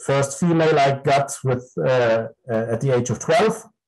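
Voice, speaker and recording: Somewhat breathy and fairly high in pitch, a man with a German accent speaks at a very slow pace with ordinary pitch variation. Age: 50s. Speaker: dog breeder and breed judge. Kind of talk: interview. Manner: halting.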